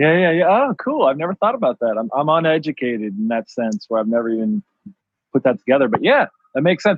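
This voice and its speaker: A man with an Ohio accent, speaking very fast in a fairly high voice that swings very widely in pitch. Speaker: clothing designer. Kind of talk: casual chat. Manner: animated.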